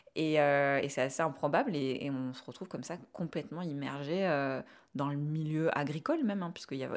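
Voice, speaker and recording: Very deep and low in pitch, a woman's voice moves with ordinary pitch variation. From southern France, Ariège. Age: 30s. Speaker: urban farmer and YouTuber. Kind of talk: interview testimony. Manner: halting, many repetitions.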